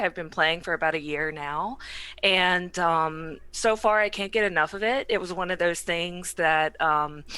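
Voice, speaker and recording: A woman with an American accent speaks at a fairly low pitch in a bright, sharp tone. The recording is very clean, with a silent background. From US South. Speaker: tabletop game player. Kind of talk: casual chat.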